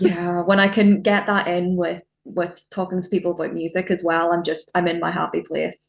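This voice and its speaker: A woman's fairly low, flat monotone in a Northern Irish accent, at a moderate pace with hardly any pauses. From Northern Ireland. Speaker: music journalist. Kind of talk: casual interview chat.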